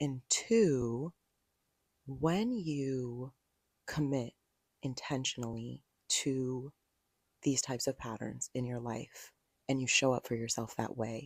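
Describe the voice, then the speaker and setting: Quiet speech at a very slow pace, broken by long, frequent pauses, with a dry, close sound with no echo on a very clean recording with a silent background. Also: woman, very deep, low pitch for a woman, ordinary pitch variation. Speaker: podcast host. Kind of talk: solo podcast talk. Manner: quiet, low-key. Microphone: handheld mic held close to mouth.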